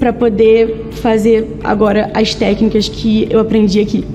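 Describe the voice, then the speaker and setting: Over music in the background, a woman speaks at a fairly slow pace and a fairly high pitch. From Rio de Janeiro, Brazil. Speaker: veterinarian, course graduate. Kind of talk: testimonial.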